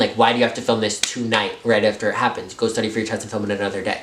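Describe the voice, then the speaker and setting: The speaker has an American accent. There is audible room echo and noticeable background noise. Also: man. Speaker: YouTuber telling a story. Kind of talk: casual storytime vlog. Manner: fast.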